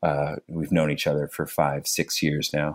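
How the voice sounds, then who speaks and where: A man talks with a Canadian Maritime accent. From Nova Scotia, Canada. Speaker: public servant with low vision. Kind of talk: casual interview chat. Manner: halting, with frequent fillers.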